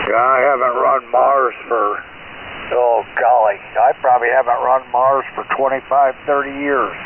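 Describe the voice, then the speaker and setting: Over noticeable background noise, a man speaks at a fairly slow pace in a monotone, flat delivery. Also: medium pitch for a man. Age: 80s+. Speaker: ham radio net control, Vietnam veteran. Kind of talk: amateur radio net chat. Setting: shortwave radio transmission.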